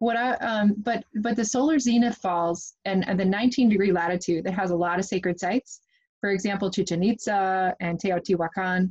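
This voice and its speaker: Against a quiet background, a woman with an American accent speaks at a moderate pace in a somewhat breathy, medium-pitched voice with ordinary pitch variation. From US Midwest. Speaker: podcast host. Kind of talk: casual interview.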